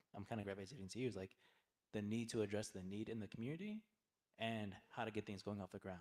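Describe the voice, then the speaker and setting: A man speaks softly. His pitch is fairly low. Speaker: nonprofit leader. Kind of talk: panel discussion. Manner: soft-spoken; halting.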